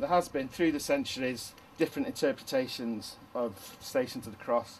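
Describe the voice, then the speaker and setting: A man speaks with a Manchester accent. His pace is moderate. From northern England, Manchester. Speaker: retired teacher turned artist. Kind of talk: documentary interview. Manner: halting.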